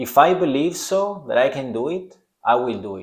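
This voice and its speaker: A man with a strong Italian accent on a very clean recording, the background silent. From Italy. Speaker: podcast host. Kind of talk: self-help podcast monologue.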